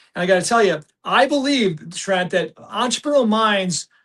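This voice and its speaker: A man talks with an American accent. His pitch varies in an ordinary way and his pace is moderate. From US Midwest. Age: 60s. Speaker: entrepreneur. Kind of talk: podcast interview. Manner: repetitive, halting restarts.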